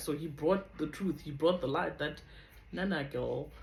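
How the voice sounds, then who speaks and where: The voice is a woman's and somewhat breathy. She talks fairly slowly. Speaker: vlogger. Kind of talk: testimony.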